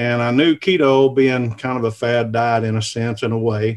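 A man with a Southern US accent speaks at medium pitch and a fairly slow pace. His intonation is monotone and flat. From US South (southern Missouri). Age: 50s. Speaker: cast iron cooking video creator. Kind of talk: casual interview. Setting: video call from home.

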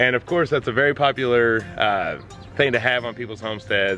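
Set against faint music in the background, a man talks at a fairly quick pace in a dry sound with no echo. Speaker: homestead vlogger. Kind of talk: casual vlog chat. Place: garden. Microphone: phone near.

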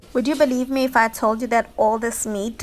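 A woman talks with ordinary pitch variation. Behind her, music can be heard. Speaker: lifestyle vlogger. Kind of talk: casual vlog chat. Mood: cheerful, upbeat. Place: kitchen. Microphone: phone near.

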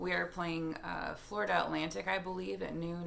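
Here a woman is speaking. Her pace is moderate. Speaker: fitness vlogger. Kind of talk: casual vlog chat. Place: home room. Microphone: phone near.

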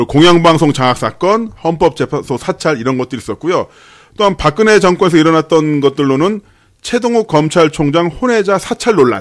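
At a fairly quick pace, a man with a fairly high pitch talks on a very clean recording over a silent background. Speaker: news anchor co-host. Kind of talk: political talk show discussion. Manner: animated.

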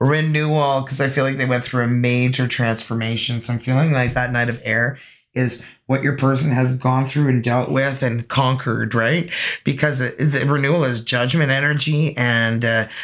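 A woman speaks at an extremely low pitch. Her pace is moderate. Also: fairly even intonation.

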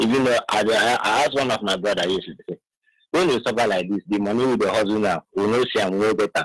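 Someone speaks with a Nigerian accent at a fairly quick pace and ordinary pitch variation. The sound is dry and close, with no echo. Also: man. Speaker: caller. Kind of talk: call-in comment.

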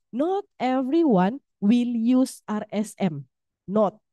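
A woman's voice, fairly high with a dark, mellow tone, swings very widely in pitch, the sound dry and close with no echo. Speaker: university lecturer running a statistics workshop. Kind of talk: workshop lecture. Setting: classroom with hybrid online audience.

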